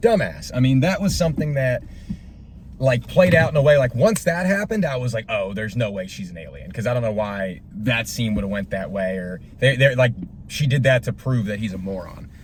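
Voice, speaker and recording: Breathing somewhat audibly, a man speaks at a fairly quick pace. His pitch swings very widely and his loudness rises and falls sharply. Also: medium pitch for a man. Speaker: movie reaction vlogger. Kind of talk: casual movie review monologue. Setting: in a car. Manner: halting, many fillers.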